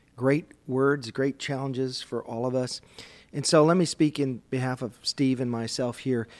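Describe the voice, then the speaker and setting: A man with an American accent speaks in a normal speaking voice at medium pitch. His pace is moderate and his intonation fairly even. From US Midwest, Minnesota. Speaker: men's group leader and podcast host. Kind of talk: casual discussion on faith.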